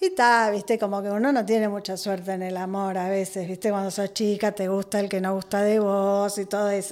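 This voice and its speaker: At a fairly quick pace and medium pitch, a woman talks with hardly any pauses. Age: 40s. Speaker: podcast guest, host's sister. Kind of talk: casual chat. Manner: animated.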